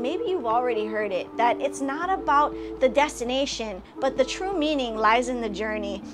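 With music in the background, a woman speaks at a moderate pace in a high, warm voice. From Hawaii. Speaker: comedian, actress, internet personality. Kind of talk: graduation congratulation message. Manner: warm, encouraging. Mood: warm, heartfelt, encouraging. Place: home room. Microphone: phone near.

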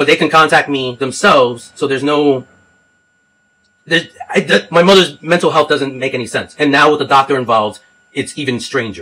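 The pace is fairly quick. A man talks, with ordinary pitch variation. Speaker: caller. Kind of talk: phone complaint explanation. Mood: frustrated, earnest.

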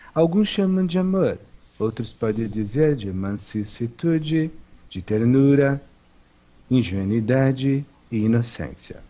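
In a calm tone, a man with a dark, mellow voice speaks at a very slow pace with very wide pitch swings and long, frequent pauses. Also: medium pitch for a man. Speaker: spiritual teacher / channeled monk. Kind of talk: spiritual talk.

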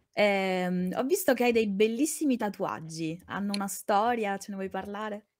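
A woman speaks in a plain, everyday voice at a medium pitch and moderate pace, with ordinary pitch variation. There are hardly any pauses, and her loudness swings widely. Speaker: co-host and chat moderator. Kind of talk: casual live-stream chat.

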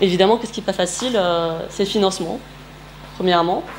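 Light background noise sits behind a voice with fairly even intonation. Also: woman. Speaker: presenter. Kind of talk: presentation talk. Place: meeting room. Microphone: camera far.

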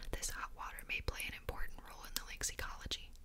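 Whispering at a fairly quick pace against noticeable background noise. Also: woman. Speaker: ASMR content creator. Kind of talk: soft-whispered book reading. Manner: whispered, soft-spoken.

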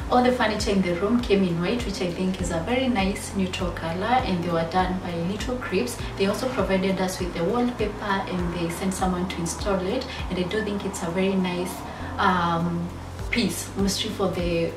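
A woman at a moderate pace, ordinary pitch variation, noticeable background noise. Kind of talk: casual vlog chat. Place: home room.

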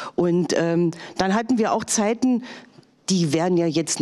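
The voice moves at a fairly slow pace with lively intonation. The background is quiet. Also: woman. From eastern Germany. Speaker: politician. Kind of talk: panel discussion. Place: stage. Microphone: handheld.

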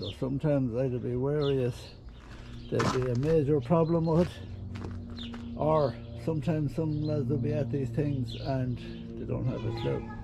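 Music plays behind a man whose speech moves at a moderate pace. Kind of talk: casual vlog chat. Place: farm machine. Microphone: phone near.

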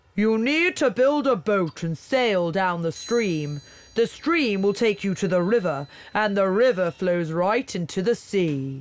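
A put-on character voice sits at middle pitch. The delivery is fairly slow. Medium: read story. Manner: calm, knowing.

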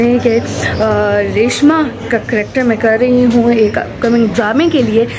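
Here a woman speaks at a fairly high pitch. Noticeable background noise runs behind her. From Saudi Arabia. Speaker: actress and voiceover artist. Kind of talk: casual vlog talk to camera. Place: garden. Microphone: phone near.

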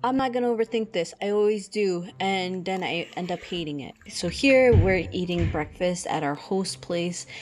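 A woman with a plain, everyday voice talks at a moderate pace and medium pitch, with ordinary pitch variation and hardly any pauses. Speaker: travel vlogger. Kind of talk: casual vlog narration.

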